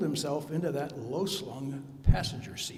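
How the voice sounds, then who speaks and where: A man talks at a fairly slow pace. There is noticeable background noise behind him. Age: 80s+. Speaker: eulogy speaker, friend of the deceased. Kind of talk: eulogy.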